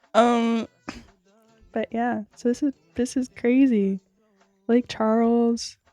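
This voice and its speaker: Over music in the background, a woman speaks at a very slow pace with long, frequent pauses, in a dry, close sound with no echo. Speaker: YouTuber. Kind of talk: casual vlog chat. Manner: animated.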